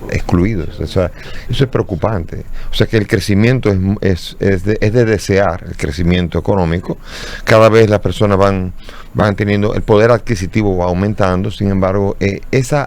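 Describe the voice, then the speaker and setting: A man's fairly low voice at a moderate pace, with fairly even intonation and noticeable background noise. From Dominican Republic. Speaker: bishop. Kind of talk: interview. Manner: halting, with repetitions.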